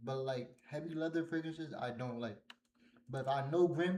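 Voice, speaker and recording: A man speaks with ordinary pitch variation. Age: 20s. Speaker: fragrance reviewer. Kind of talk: casual review.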